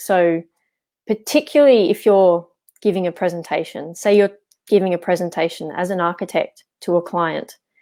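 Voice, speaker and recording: In an Australian accent, a woman with a fairly low pitch and a dark, mellow tone speaks at a moderate pace with fairly even intonation, in a very clean recording with a silent background. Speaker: architect and English teacher. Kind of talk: interview. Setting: live video stream.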